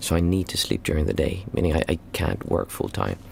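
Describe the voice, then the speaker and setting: A man speaks with vocal fry. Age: 40s. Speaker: meditation teacher. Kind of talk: Q&A livestream. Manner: halting.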